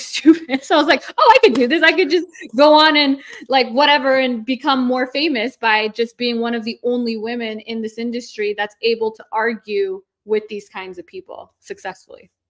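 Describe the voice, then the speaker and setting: Speaking in an Iranian accent, a woman has a high pitch with ordinary pitch variation. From North America, second-generation Iranian. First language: Farsi. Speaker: lawyer and online content creator. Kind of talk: casual interview chat. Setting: livestream interview. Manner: fast, filler-heavy speech.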